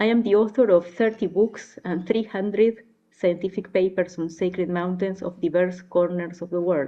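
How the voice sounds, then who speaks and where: A woman with an Argentine accent speaks at a moderate pace with fairly even intonation. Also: medium pitch for a woman. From Argentina. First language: Spanish. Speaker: anthropologist. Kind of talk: conference address. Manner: formal.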